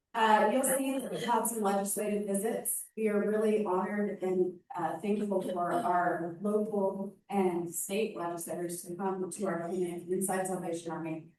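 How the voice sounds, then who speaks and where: With an American accent, a woman speaks at a moderate pace in a medium pitch with fairly even intonation, hardly any pauses and audible room echo. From Indiana. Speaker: nonprofit dental clinic director. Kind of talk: presentation. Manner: loud. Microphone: PA echo feedback.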